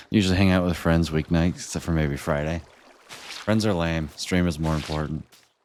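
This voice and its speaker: A man talks at a moderate pace with a very deep, low pitch. There is noticeable background noise. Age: 20s. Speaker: game streamer. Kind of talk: live stream chat. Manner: animated.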